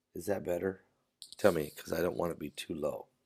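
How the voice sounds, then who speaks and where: Soft-spoken and very deep, a man's voice carries a dark, mellow tone with vocal fry and ordinary pitch variation. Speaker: pastor. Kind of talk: live stream talk. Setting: hotel room.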